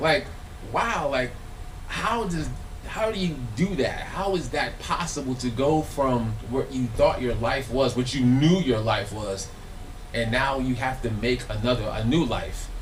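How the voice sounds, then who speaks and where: Speaking with an American accent and lively intonation, a man is heard with audible room echo and noticeable background noise. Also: medium pitch for a man. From Los Angeles. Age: 40s. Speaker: filmmaker and former musician speaking on stage. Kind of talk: live talk to an audience. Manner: casual, repetitive and halting.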